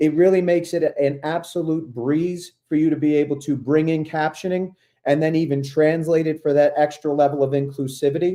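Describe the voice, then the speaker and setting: With a New York accent, a man with a fairly high pitch and a dark, mellow tone talks at a fairly quick pace with hardly any pauses. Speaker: ed tech coach, presenter. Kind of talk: webinar tutorial. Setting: online webinar. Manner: fast; animated.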